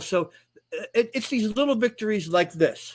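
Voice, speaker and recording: A man's voice with ordinary pitch variation. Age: 60s. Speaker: author and non-custodial father. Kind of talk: live stream interview. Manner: halting, many repeated words.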